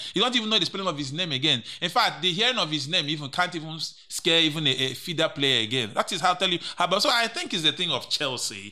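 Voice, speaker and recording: With a Nigerian accent, a man talks at a high pitch and very fast pace, hardly pausing, his animated delivery swinging very widely in pitch with a bright, sharp tone. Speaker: co-host and sports pundit. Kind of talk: casual banter about football.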